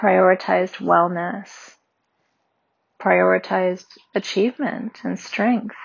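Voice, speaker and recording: Very slowly, a woman speaks with long, frequent pauses. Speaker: meditation guide. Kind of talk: guided meditation.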